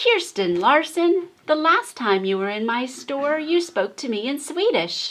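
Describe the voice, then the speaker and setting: In a put-on character voice, a woman speaks high and fairly slowly, with very wide pitch swings and hardly any pauses. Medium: read story.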